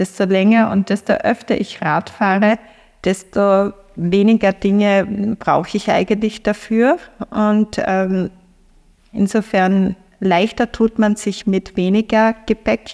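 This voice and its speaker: Speaking very slowly with a Styrian accent, a woman keeps a medium pitch, fairly even intonation and very even loudness, in a very clean, dry, close recording with no echo and a silent background. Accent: Austrian (Styrian) German. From Austria, eastern Styria (Feldbach). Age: 50s. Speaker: sociologist and cycle traveller. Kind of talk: interview storytelling. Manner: hesitant, many fillers.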